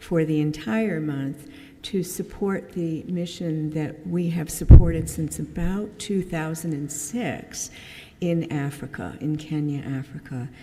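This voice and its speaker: There is audible room echo as a woman speaks at a fairly slow pace. Her pitch is fairly low with ordinary variation. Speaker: church member giving mission talk. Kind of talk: church mission presentation. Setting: church service. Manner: casual, with many fillers.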